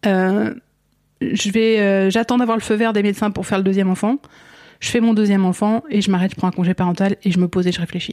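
In a very clean recording with a silent background and a dry, close sound with no echo, a woman talks at a very fast pace in a dark, mellow tone with fairly even intonation. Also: medium pitch for a woman. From France, Essonne (Paris region). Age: 40s. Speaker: mother sharing her cancer story. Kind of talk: personal testimony interview. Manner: halting, many fillers and repetitions.

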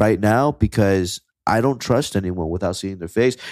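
The recording is very clean, with a silent background, and a man talks at a fairly slow pace. His is an ordinary speaking voice with ordinary pitch variation. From Kissimmee, Florida, Puerto Rican family. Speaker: music producer and rapper. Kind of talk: casual chat.

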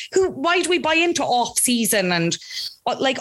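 A woman speaks with an Irish accent. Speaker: Love Island commentator and podcast producer. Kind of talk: casual interview chat.

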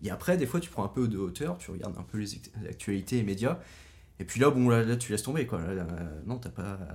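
With lively intonation and big swings in loudness, a man with a fairly low pitch and a somewhat breathy voice talks at a fairly quick pace. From Brittany, Pays Bigouden. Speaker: podcast guest. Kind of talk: casual chat.

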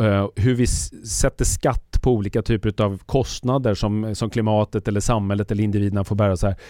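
Recorded very cleanly over a silent background, a man speaks in a dark, mellow tone at a fairly low pitch with ordinary pitch variation. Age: 50s. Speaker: futurist. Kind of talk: casual chat. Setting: studio.

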